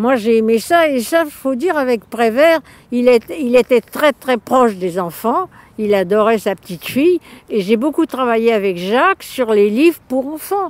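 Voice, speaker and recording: Very wide pitch swings from a high-pitched woman, fairly slow in pace, in a dry, close sound with no echo. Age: 90s. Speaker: illustrator and artist. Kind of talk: interview. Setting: outdoors. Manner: colloquial, lively.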